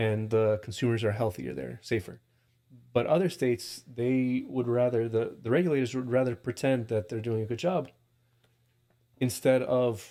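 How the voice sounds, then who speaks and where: A man with a slight Russian accent, dark and mellow in tone, at a moderate pace with ordinary pitch variation, on a very clean recording with a silent background. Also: medium pitch for a man. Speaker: cannabis testing lab founder. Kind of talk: podcast interview.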